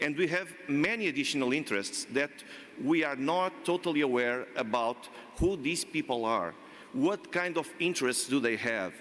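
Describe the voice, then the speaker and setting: A man speaks with a Portuguese accent at a fairly high pitch. His pace is moderate and his intonation lively. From Portugal. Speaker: panel expert. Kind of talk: panel discussion. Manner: halting.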